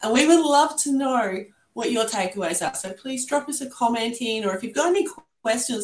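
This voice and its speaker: A woman speaks at a moderate pace with lively intonation. Her voice is somewhat breathy. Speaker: podcast host, art therapist. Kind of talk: casual interview chat.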